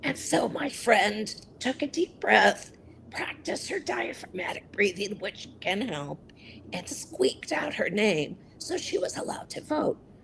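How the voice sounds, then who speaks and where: A woman whispers fairly slowly against noticeable background noise. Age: 60s. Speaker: advocate for people with voice disorders. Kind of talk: interview.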